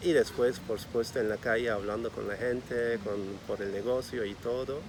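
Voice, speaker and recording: With a Turkish accent, a man speaks at a medium pitch and moderate pace, his intonation fairly even. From Turkey, Istanbul. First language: Turkish (speaking Spanish). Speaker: bakery owner. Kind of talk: interview.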